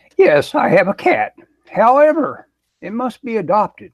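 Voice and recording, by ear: A squeaky, put-on character voice is used. It moves at a moderate pace. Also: man, extremely high pitch for a man.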